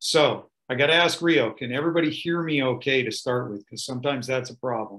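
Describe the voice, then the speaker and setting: A man with a medium pitch and a bright, sharp tone talks at a fairly quick pace with ordinary pitch variation. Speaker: EMS educator presenting a webinar. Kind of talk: webinar presentation. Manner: loud.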